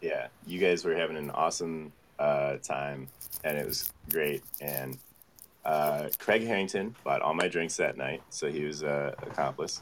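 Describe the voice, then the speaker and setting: This man's voice sits very deep and low. Noticeable background noise runs behind him. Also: ordinary pitch variation, fairly slow pace. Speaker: musician. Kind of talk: casual chat. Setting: video call.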